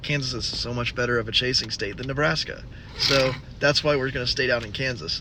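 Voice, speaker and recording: A man at a medium pitch, with ordinary pitch variation and a fairly quick pace, over noticeable background noise. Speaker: storm chaser vlogger. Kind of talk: casual vlog narration. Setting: at a gas station.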